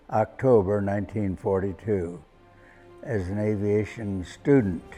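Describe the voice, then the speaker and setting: With music in the background, a man speaks at a fairly low pitch and with fairly even intonation. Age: 80s+. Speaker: war veteran. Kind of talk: interview answer.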